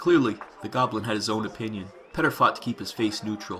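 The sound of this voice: The pitch rises and falls in an ordinary way. It's an unforced reading voice.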